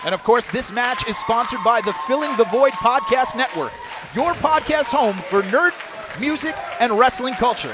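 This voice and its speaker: A man with an extremely high pitch and lively intonation at a moderate pace, crowd noise behind him. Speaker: wrestling commentator. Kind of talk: play-by-play wrestling commentary.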